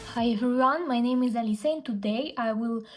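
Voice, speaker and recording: A woman speaks at a fairly high pitch in a Russian accent. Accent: Russian accent in English, non-native. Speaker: fashion influencer and brand founder. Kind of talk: vlog storytelling.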